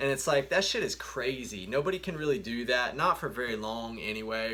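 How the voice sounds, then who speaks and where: Bright and sharp in tone, a man talks at a fairly quick pace with a medium pitch and lively intonation. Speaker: naturopathic doctor. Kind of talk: educational talk. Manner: fast.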